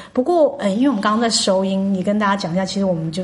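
A woman's medium-pitched voice, varying in pitch in an ordinary way, carries audible room echo over noticeable background noise. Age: 40s. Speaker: podcast host. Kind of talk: casual interview chat.

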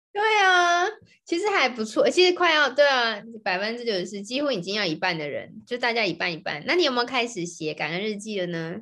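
A woman's fairly high, fairly quick voice with very wide pitch swings. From Taiwan. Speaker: podcast co-host, Chinese tutor. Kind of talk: casual chat.

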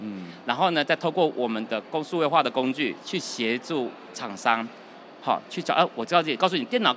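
At a moderate pace, a man with a medium-pitched voice speaks in a bright, sharp tone with lively intonation. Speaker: company finance director. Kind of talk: interview. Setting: trade show floor.

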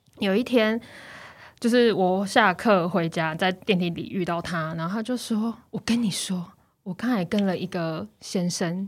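A woman at medium pitch and a fairly slow pace, ordinary pitch variation and big swings in loudness, on a very clean recording with a silent background. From Taiwan. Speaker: former student in France. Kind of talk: casual chat. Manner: animated.

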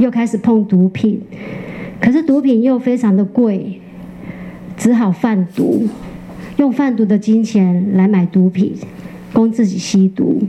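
Over noticeable background noise, the speech comes at a very slow pace with long, frequent pauses and very even loudness. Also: woman, fairly high pitch for a woman, ordinary pitch variation. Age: 50s. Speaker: former prisoner turned baker. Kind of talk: interview testimony.

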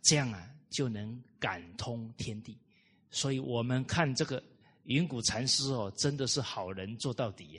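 A man with a normal speaking voice talks at a fairly slow pace, medium in pitch with ordinary pitch variation. His loudness swings widely against a quiet background. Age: 30s. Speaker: Buddhist-style moral lecturer. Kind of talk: lecture. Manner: frequent filler particles.

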